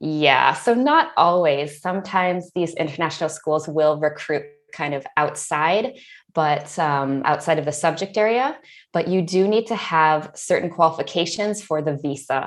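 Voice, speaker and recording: A normal speaking voice with an American accent, ordinary pitch variation, and a moderate pace. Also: woman, fairly low pitch for a woman. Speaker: ESL teacher. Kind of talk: interview.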